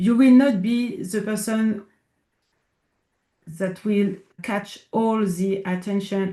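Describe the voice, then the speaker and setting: Over a quiet background, a woman with a medium-pitched, somewhat breathy voice and a dark, mellow tone speaks very slowly with fairly even intonation. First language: French. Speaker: inclusion consultant. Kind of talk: interview conversation. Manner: halting, searching for words.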